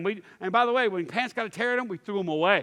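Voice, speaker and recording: In a Texan accent, the speaker goes at a very fast pace with an animated tone. Pitch varies in an ordinary way, and the recording is very clean with a silent background. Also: man. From East Texas. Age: 50s. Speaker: pastor. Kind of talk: sermon.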